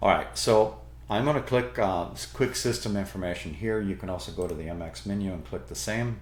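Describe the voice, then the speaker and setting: With a non-native accent and audible room echo, a man talks at a moderate pace and fairly low pitch, showing vocal fry and very wide pitch swings. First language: not English. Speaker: Linux tutorial YouTuber. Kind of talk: tutorial.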